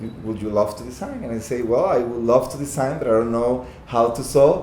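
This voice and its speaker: In a Costa Rican accent, a man of medium pitch talks at a moderate pace with ordinary pitch variation and audible room echo. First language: Spanish. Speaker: fashion designer. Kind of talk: casual interview chat. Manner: halting.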